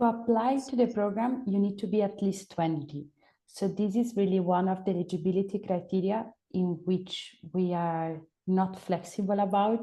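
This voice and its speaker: A woman's somewhat breathy, dark, mellow voice at a medium pitch, with fairly even intonation and a moderate pace. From Italy. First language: Italian. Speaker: program coordinator. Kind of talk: webinar Q&A.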